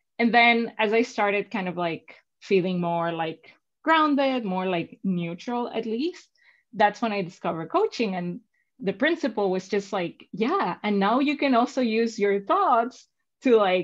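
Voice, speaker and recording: Speaking fairly slowly in a Spanish accent, a woman uses lively intonation at a fairly high pitch. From Venezuela. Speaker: entrepreneur and coach. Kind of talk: interview. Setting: livestream video call. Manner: animated, many fillers.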